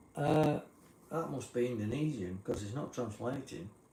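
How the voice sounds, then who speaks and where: A man with an English accent speaks at a fairly slow pace. His intonation is lively. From England. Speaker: live streamer. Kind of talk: casual live stream chat.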